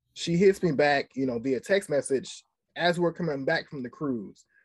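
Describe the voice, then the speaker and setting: A man with a fairly high pitch and lively intonation, a normal speaking voice, on a very clean recording with a silent background. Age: young. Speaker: special education teacher. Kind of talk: casual interview.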